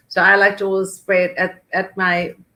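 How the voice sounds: This woman has a bright, sharp tone at a medium pitch. Her pitch moves very little. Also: moderate pace.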